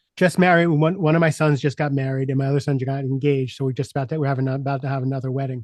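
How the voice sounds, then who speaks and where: A man with an American accent talks very fast at a fairly high pitch, with hardly any pauses. His intonation stays fairly even. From US Northeast, Long Island New York. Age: 60s. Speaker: executive coach and speaker. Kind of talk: podcast interview, personal story. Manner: halting, many repetitions and fillers.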